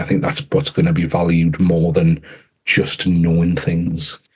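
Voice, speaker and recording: English accent from a man, with ordinary pitch variation. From England. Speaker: author and education AI strategist. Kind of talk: podcast interview. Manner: halting, frequent repetitions.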